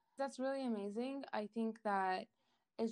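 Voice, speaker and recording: A woman's fairly high-pitched, unremarkable speaking voice at a moderate pace. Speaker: podcast host. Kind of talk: podcast interview with a fable told aloud.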